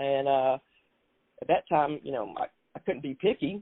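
A woman speaks in a South Carolina accent with a very deep, low pitch. Her intonation is lively. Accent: Southern US, South Carolina. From South Carolina Low Country. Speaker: basketball executive and award winner. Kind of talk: interview conversation.

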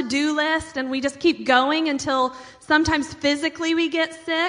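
Over noticeable background noise, a woman with an American accent projects a raised, high-pitched voice in a monotone, flat delivery. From US Midwest, small town. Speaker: pastor. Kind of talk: sermon.

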